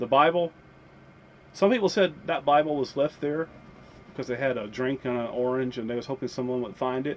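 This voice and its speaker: In an American accent, a man talks at a fairly quick pace with a medium pitch and ordinary pitch variation. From US South. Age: 50s. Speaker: vlogger. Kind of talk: casual chat. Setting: inside a campervan. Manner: halting.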